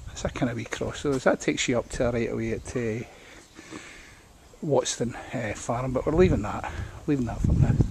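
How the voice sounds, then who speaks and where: A man with a Scottish accent at a moderate pace, long, frequent pauses and noticeable background noise. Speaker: local historian and walk guide. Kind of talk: guided walk narration. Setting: outdoors, walking village streets. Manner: casual, hesitant.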